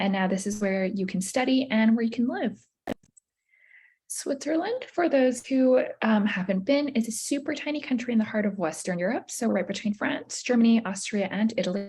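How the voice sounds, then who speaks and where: Speaking with an American accent, a woman has a fairly high, somewhat breathy voice with a dark, mellow tone, lively intonation and a moderate pace. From United States. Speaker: university admissions representative. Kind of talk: presentation at virtual college fair.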